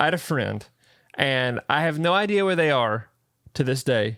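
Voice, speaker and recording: On a very clean recording with a silent background, a man talks at a fairly quick pace. His fairly high voice is animated, with lively intonation. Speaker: podcast co-host. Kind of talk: casual chat.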